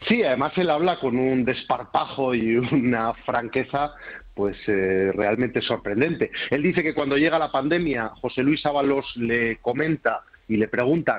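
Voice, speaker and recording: A man speaks at a fairly slow pace with very even loudness and ordinary pitch variation. The background is quiet. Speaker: newspaper journalist guest. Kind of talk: interview answer. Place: studio.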